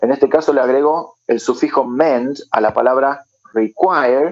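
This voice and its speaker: With fairly even intonation, an unremarkable speaking voice is heard. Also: man. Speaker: English teacher. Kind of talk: lecture.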